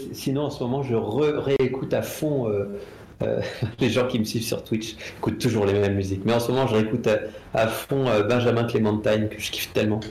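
At a fairly quick pace and medium pitch, a man speaks with fairly even intonation, with noticeable background noise and audible room echo. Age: 40s. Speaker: comic book artist. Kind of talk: casual interview chat. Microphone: too far from the mic at first.

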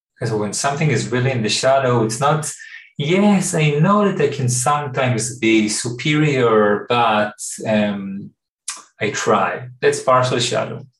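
A somewhat breathy man with lively intonation at a fairly slow pace. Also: medium pitch for a man. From Israel. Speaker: therapeutic workshop facilitator and teacher. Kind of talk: podcast interview.

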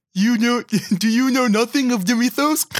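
At a moderate pace, a man performs a put-on character voice pitched extremely high for a man. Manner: bouncy, exaggerated.

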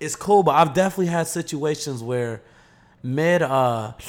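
A man with an American accent speaks at a high pitch, and his intonation is lively. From US South, Atlanta. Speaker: YouTuber. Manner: loud, projecting.

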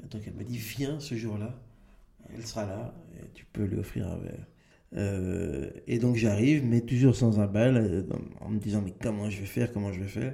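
The voice is dark and mellow and somewhat breathy, moving at a moderate pace with ordinary pitch variation and big swings in loudness, and audible room echo. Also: man, fairly low pitch for a man. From Belgium, Brussels area. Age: 40s. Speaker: comedian. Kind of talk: interview. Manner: halting.

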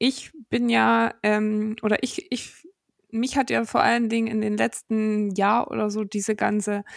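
A woman's fairly high voice, fairly slow and flat in monotone, with a dry, close, echo-free sound on a very clean recording over a silent background. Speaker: podcast co-host. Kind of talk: casual interview chat.

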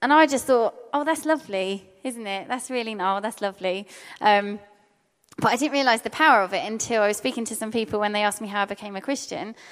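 A woman with a fairly high pitch, animated tone and ordinary pitch variation, at a very fast pace. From English Midlands. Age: 20s. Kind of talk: testimony talk to audience. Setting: seminar with live audience.

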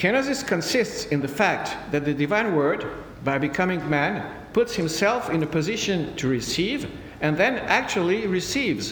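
This speaker has a French accent and very wide pitch swings at a moderate pace. The loudness stays very even against noticeable background noise. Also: man, high pitch for a man. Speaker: priest and theology lecturer. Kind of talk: answering audience questions; lecture. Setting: conference with audience. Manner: formal; halting.

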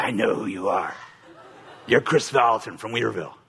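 A man puts on a raspy character voice at a medium pitch. His tone is menacing. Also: fairly quick pace. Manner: menacing, demonic.

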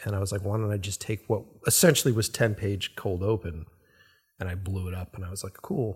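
A man with an American accent talks at a fairly quick pace, his voice fairly low and somewhat breathy. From Boston. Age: 40s. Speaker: podcast host, filmmaker. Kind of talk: casual chat. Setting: home recording.

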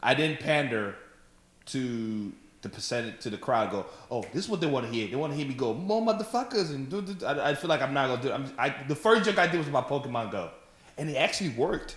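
A man talks at a very fast pace with very wide pitch swings. The recording carries audible room echo and noticeable background noise. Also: fairly high pitch for a man. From Africa, raised in Texas. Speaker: stand-up comedian. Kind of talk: casual chat. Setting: at host's house.

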